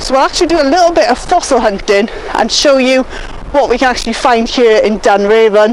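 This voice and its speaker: A high-pitched woman shouts at a fairly quick pace with lively intonation. Her loudness stays very even over noticeable background noise. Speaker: nature presenter and vlogger. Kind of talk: outdoor vlog walkthrough. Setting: outdoors on a beach. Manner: loud, shouting over wind.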